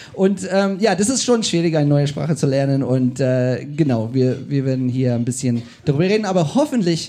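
A man's dark, mellow voice with lively intonation at a moderate pace, against a quiet background. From South Africa. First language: English (speaking German). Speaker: podcast host. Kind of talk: live podcast conversation. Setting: stage with audience.

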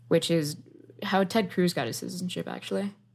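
A woman speaks with an American accent. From Miami, Florida (West Kendall). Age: 20s. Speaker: software engineer. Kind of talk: interview.

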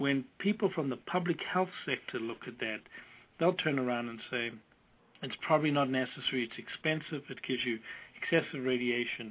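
With a strong South African accent, a man speaks fairly quickly at a medium pitch, his pitch varying in an ordinary way and his loudness swinging widely. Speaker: oncologist. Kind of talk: expert interview. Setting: phone call.

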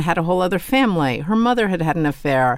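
In an unremarkable speaking voice, a woman with an American accent speaks at a medium pitch with lively intonation on a very clean recording with a silent background. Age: 50s. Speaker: author. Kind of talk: interview.

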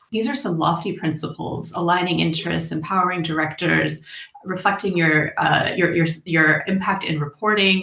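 A fairly deep female voice against noticeable background noise. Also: ordinary pitch variation, moderate pace. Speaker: academic researcher, moderator. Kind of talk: panel moderation. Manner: formal.

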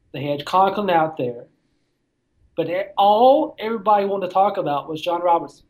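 The speaker uses a Southern accent. The pace is fairly quick. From Tennessee, near Nashville. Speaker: sports writer. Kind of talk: casual interview.

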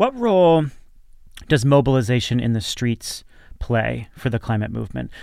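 A man talks at a moderate pace with long, frequent pauses. The recording is very clean with a silent background. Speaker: podcast host. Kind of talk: podcast discussion, host-led.

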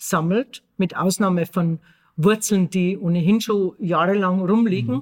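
A woman talks at a moderate pace and medium pitch in a plain, everyday voice, with ordinary pitch variation. The sound is dry and close, with no echo. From Austria, Tyrol. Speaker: podcast co-host. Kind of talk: casual chat.

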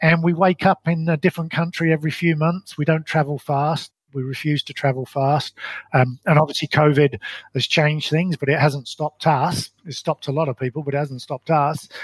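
A man speaks at a fairly high pitch and a fairly quick pace, somewhat breathy, with fairly even intonation. The sound is dry and close, with no echo. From London, England. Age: 50s. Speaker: failed business owner. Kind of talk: interview storytelling.

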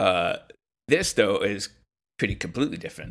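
At a fairly quick pace, a man is speaking. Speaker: podcast guest. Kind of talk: casual chat.

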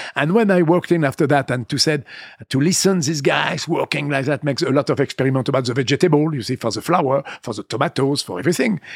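A man's fairly high voice in a French accent, very fast in pace, with ordinary pitch variation and a dry, close sound with no echo. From western France (Vendée). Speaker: winemaker. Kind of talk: interview. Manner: halting.

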